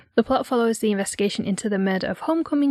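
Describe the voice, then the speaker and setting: The voice carries a northeastern English accent. The sound is dry and close, with no echo. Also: woman. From North Yorkshire, England. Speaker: podcast co-host. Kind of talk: scripted narration; casual chat.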